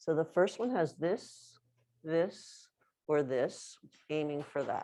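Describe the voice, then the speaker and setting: A woman's fairly low voice with a dark, mellow tone, very slow pace and ordinary pitch variation. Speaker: movement and bodywork teacher. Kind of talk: hands-on workshop demonstration.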